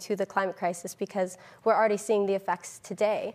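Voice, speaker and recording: A woman with a Californian accent at a very fast pace and fairly even intonation. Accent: General American (Californian). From Northern California. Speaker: climate activist. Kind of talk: panel discussion.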